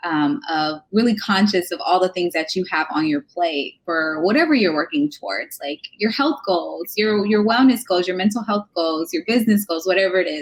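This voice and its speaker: A woman speaks at medium pitch with lively intonation and hardly any pauses. She has a plain, everyday voice. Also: moderate pace. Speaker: nurse and wellness coach podcast host. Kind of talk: casual interview chat. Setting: live video stream.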